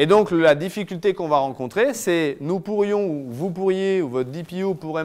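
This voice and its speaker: The speaker is a man. His intonation is lively. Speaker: lawyer giving a talk. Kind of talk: lecture. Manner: fast.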